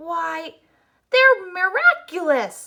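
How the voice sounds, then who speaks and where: Doing a put-on character voice, a woman speaks in a raised, projected, squeaky voice at an extremely high pitch. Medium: read story.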